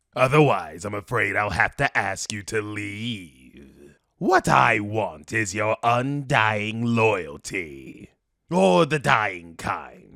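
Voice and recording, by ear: A man puts on a raspy character voice with lively intonation at a very slow pace. The recording is very clean, with a silent background.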